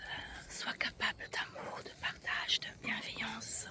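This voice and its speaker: Background noise is noticeable beneath the whispered speech. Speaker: ASMR creator. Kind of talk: ASMR walk-and-talk, casual talk to camera.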